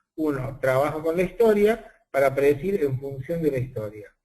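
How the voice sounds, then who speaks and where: A man with an Argentine accent speaks at a moderate pace in a fairly high pitch. His intonation is lively. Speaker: statistician and university professor. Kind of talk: webinar lecture. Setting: online webinar.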